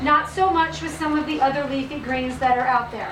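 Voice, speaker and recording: A woman talks at a fairly quick pace, with noticeable background noise and audible room echo. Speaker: health practitioner giving a presentation. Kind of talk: business presentation. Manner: fast.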